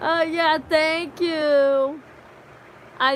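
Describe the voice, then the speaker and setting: A woman with an American accent speaks in a raised, projected voice. Room echo is audible. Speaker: livestreamer. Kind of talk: casual chat. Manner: loud; halting.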